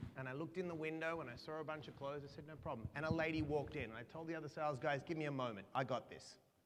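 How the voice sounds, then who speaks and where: Talking at a very fast pace with an Australian accent, a man uses a fairly high pitch and fairly even intonation. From Australia (Perth). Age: 40s. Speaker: motivational speaker. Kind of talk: keynote speech.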